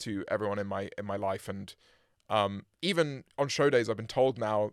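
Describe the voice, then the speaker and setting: In a very clean recording with a silent background, a man with a British accent speaks with ordinary pitch variation. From UK. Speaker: musician, band frontman. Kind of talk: casual interview chat. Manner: hesitant, many fillers and repeats.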